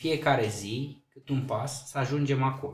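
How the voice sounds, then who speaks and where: A somewhat breathy man speaks very slowly at a fairly high pitch, his intonation fairly even. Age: 40s. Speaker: mayor. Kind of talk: casual interview.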